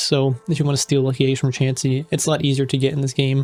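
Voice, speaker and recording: His pitch is fairly high for a man. He speaks very fast. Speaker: gaming YouTuber. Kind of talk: casual gameplay commentary. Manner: halting, many self-corrections.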